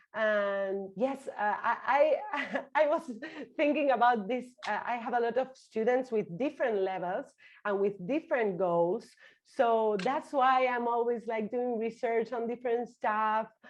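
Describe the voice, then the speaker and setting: Speaking in a Spanish accent against a quiet background, a woman with a fairly high pitch sounds energetic and enthusiastic, moving at a fairly slow pace with ordinary pitch variation. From Argentina. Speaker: online Spanish teacher. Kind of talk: interview conversation. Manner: energetic, enthusiastic; halting, repeats words.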